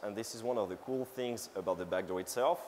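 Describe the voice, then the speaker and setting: A man talks very fast. His pitch sits in the medium range and varies in an ordinary way. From France. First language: French. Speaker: security researcher. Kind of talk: conference talk. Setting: stage with audience. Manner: casual, halting with many fillers.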